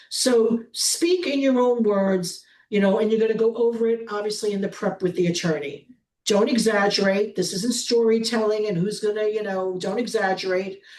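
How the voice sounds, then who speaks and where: With a New York accent, a woman speaks in a fairly high pitch. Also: ordinary pitch variation, moderate pace. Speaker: prosecutor. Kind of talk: webinar presentation.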